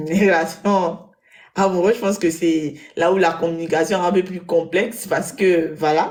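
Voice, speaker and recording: Woman's voice, fairly low in pitch, at a moderate pace. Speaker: web show panelist. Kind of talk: live panel discussion. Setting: live web broadcast studio.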